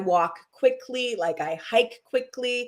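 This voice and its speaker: Speaking very slowly, a woman lets her pitch vary in an ordinary way. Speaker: wellness practitioner. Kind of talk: casual interview chat.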